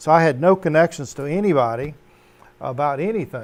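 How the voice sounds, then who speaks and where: An ordinary speaking voice, its pitch moving in an ordinary way, delivered at a moderate tempo. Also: man. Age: 60s. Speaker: Navy veteran and home cannabis grower. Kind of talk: casual chat.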